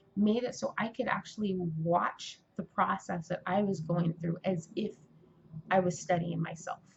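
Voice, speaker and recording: A woman talks at a moderate pace in a medium pitch, somewhat breathy, with fairly even intonation. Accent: American. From California. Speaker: aspiring writer and vlogger. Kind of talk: casual vlog monologue. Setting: indoors, Mardi Gras outside window.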